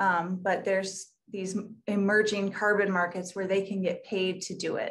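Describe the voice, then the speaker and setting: A woman's fairly slow, flat, monotone delivery. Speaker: local newspaper reporter. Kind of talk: panel discussion. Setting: video call. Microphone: video call.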